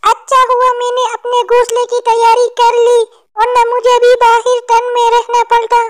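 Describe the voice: In a cartoonish character voice, a woman speaks at an extremely high pitch in a flat monotone, fairly slowly and with hardly any pauses.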